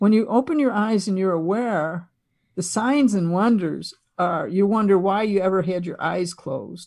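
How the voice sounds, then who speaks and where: Over a quiet background, a woman with an American accent uses a normal speaking voice at medium pitch, a moderate pace and ordinary pitch variation. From Buffalo, New York, US. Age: 60s. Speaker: consciousness podcaster and former wellness teacher. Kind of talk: casual interview conversation.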